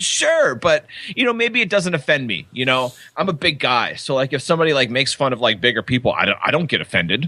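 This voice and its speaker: A man talks at a very fast pace in a bright, sharp tone. His fairly high voice makes very wide pitch swings. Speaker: podcast co-host. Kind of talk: casual chat.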